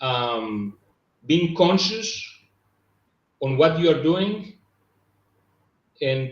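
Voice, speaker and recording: A man with a Greek accent talks at a very slow pace. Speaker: business coach. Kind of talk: casual chat. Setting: live stream. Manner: halting.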